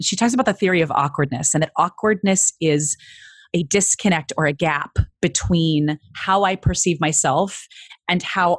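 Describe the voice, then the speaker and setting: With an American accent and an unremarkable speaking voice, a woman talks at a moderate pace with ordinary pitch variation, the sound dry and close with no echo over a quiet background. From US Midwest, small-town Illinois. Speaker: voice coach and actress. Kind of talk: interview conversation. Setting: video call.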